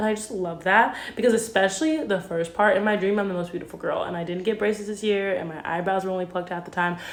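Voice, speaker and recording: Amid noticeable background noise and audible room echo, a woman with a medium-pitched voice talks at a very fast pace with hardly any pauses. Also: ordinary pitch variation. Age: 20s. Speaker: vlogger. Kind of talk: casual video journal. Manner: filler-heavy, says um a lot.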